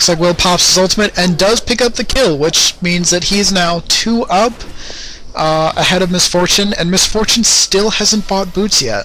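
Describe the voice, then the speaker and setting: A man speaks in a raised, projected voice at a high pitch and a moderate pace, his loudness very even. Pitch varies in an ordinary way, with noticeable background noise. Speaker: game commentator. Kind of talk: casual game commentary.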